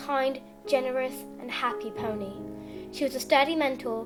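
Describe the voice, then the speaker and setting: Music plays behind a woman as she talks. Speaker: fan fiction reader. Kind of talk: fan fiction story reading.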